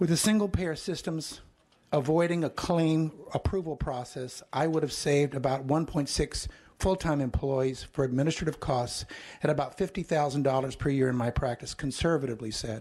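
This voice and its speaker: A man speaks at a moderate pace in an ordinary speaking voice, fairly high in pitch, with ordinary pitch variation. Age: 60s. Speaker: retired physician, public commenter. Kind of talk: public testimony. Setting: legislative hearing room.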